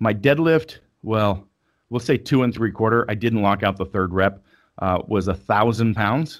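An unremarkable speaking voice from a man, fairly low-pitched with ordinary pitch variation, on a very clean recording with a silent background. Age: 40s. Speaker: strength athlete and coach. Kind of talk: casual interview.

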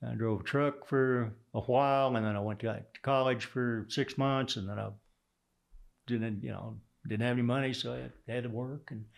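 A man with a Texas accent, medium pitch, fairly even intonation and a moderate pace, against a quiet background. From Texas (Houston), born in Oklahoma. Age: 70s. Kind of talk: interview.

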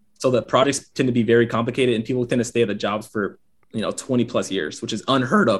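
A man speaks with an American accent at a very fast pace. His medium-pitched voice keeps a fairly even intonation. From US South, Gwinnett County near Atlanta, Georgia. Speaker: aerospace engineer and fashion content creator. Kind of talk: casual interview chat.

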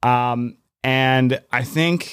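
A man with a plain, everyday voice speaks at a medium pitch with ordinary pitch variation. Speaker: gym coach. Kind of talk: casual podcast conversation.

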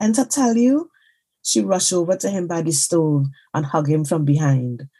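Speaking at a fairly slow pace, a woman has a fairly low, somewhat breathy voice with a dark, mellow tone and very wide pitch swings. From Trinidad and Tobago. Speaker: novelist. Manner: measured, storytelling cadence, shifting into voiced Trinidadian dialect for dialogue.

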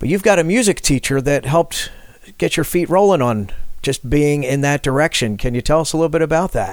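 With a plain, everyday voice, a man talks at a fairly quick pace, his pitch fairly high and his intonation lively. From Philadelphia, US. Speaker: podcast host. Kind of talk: podcast hosting.

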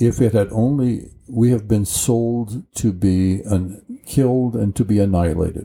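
With an American accent, a man speaks in a dark, mellow, fairly low voice. He goes at a fairly slow pace with ordinary pitch variation. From rural Colorado, US. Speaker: retired college tutor. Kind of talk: interview.

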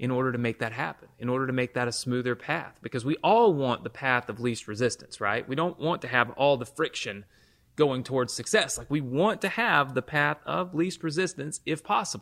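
Hardly pausing, an unremarkable speaking voice runs fairly quickly with lively intonation. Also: man, medium pitch for a man. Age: 30s. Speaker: podcast host and internet marketing entrepreneur. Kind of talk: motivational monologue. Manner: conversational with frequent fillers and repetitions.

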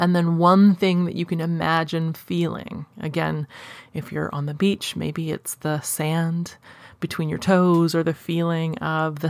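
A woman's plain, everyday voice, fairly low in pitch, on a very clean recording with a silent background. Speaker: hypnosis practitioner and podcast host. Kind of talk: guided meditation, hypnotic script led slowly and soothingly. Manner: slow, rhythmic, calm, with long pauses between counted cues.

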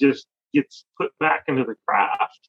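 A man with a Chicago accent and a fairly high pitch talks at a moderate pace. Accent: Chicago-area American. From US Midwest, Chicago suburbs. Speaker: spoon carver. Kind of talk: casual chat.

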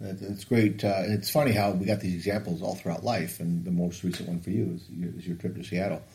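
Very deep and low in pitch, a man talks with a dark, mellow tone and a somewhat breathy sound. He moves at a fairly quick pace with hardly any pauses and ordinary pitch variation. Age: 50s. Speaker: podcast host and coach. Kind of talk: casual chat.

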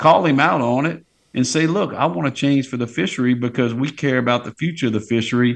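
The speech comes at a very fast pace in a South Louisiana accent. Pitch variation is ordinary. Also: man, medium pitch for a man, quiet background. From Louisiana, Plaquemines Parish. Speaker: fishing guide. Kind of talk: casual chat.

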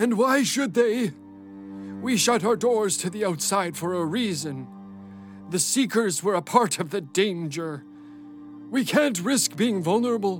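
A high-pitched man speaks with lively intonation and long, frequent pauses as clear music plays in the background. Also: moderate pace. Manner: stern, hostile, scolding.

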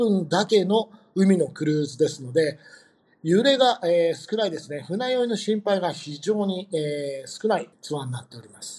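A man speaks with lively intonation. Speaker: tour company staff. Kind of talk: interview. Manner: halting with many fillers.

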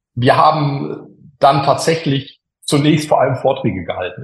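At a moderate pace, the speaker talks in a somewhat breathy voice. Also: man. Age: 50s. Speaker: engineer and tech executive. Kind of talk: interview. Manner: hesitant, frequent filler sounds.

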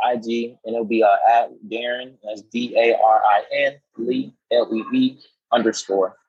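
With an American accent, a man speaks in an unremarkable speaking voice at a medium pitch with fairly even intonation. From Florida. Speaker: author and poet, Navy veteran. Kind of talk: casual interview.

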